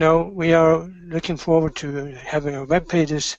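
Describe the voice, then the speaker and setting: A man's fairly high voice with a Norwegian accent. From Norway. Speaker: business executive. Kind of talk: motivational talk. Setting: webinar. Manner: halting.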